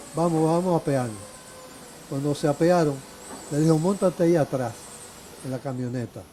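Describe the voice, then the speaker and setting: A man talks at a fairly quick pace with fairly high pitch and ordinary pitch variation. He leaves long, frequent pauses over noticeable background noise. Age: 70s. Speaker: retired lawyer and law teacher. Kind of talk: interview testimony. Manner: halting.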